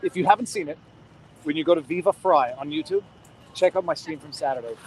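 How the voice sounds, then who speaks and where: At a very fast pace, a man speaks in an animated tone with a high pitch and ordinary pitch variation. His voice sounds dry and close, with no echo. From Quebec. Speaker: livestreamer at a protest. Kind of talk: street interview. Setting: outdoors at a street protest. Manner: fast, animated.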